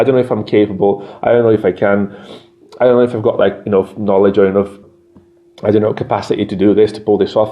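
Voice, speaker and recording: Over noticeable background noise, a man with a Yorkshire accent talks very fast in a fairly low, monotone, flat voice. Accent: Yorkshire-sounding English. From Brazil. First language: Portuguese. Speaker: English teacher. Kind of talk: casual educational monologue. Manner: conversational, repetitive.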